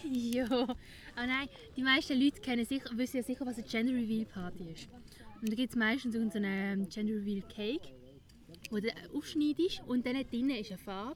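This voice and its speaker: A woman speaks with a Swiss accent at a fairly quick pace. She leaves long, frequent pauses. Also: fairly high pitch for a woman, ordinary pitch variation. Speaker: podcast host. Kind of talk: casual chat. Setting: outdoors.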